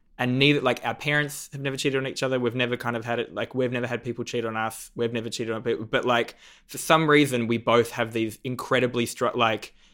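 A man with an Australian accent, bright, sharp tone and fairly quick pace on a very clean recording with a silent background. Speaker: comedian and TV judge. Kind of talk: casual interview chat. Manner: animated, joking.

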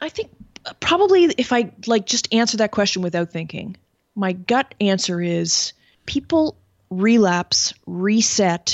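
A woman with a Canadian accent talks at a fairly slow pace in an ordinary speaking voice. Her medium pitch carries lively intonation. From Canada. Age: 50s. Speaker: sobriety coach and caterer. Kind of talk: interview. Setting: video call.

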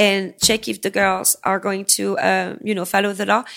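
A woman's medium-pitched voice with an American accent, vocal fry and ordinary pitch variation. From US-born. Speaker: escort. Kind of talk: casual chat. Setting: studio.

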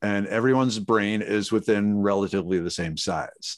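A man with an American accent speaks at a moderate pace in an unremarkable speaking voice, fairly low in pitch. The sound is dry and close with no echo, and the background is quiet. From Minnesota, US Midwest. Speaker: chemist and plant expert. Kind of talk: casual interview.

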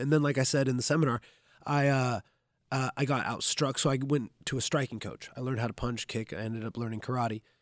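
A man with an American accent speaks in an unremarkable speaking voice with ordinary pitch variation, and the sound is dry and close with no echo on a very clean recording over a silent background. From Southern Oregon, US. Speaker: jiu-jitsu instructor and retired MMA fighter. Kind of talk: casual chat. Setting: gym.

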